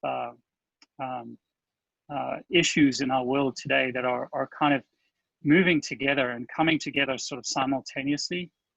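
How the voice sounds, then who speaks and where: Speaking with a South African accent, a man uses a fairly high pitch and fairly even intonation at a moderate pace, with long, frequent pauses, in a dry, close sound with no echo. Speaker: agile coach. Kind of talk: conference talk. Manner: halting, many fillers.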